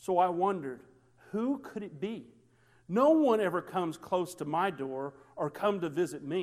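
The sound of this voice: Intonation here is lively. The reading voice is unforced.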